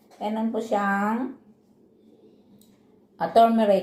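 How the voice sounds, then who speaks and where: A woman's dark, mellow tone carries audible room echo. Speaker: vlogger, overseas worker. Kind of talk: casual mukbang vlog.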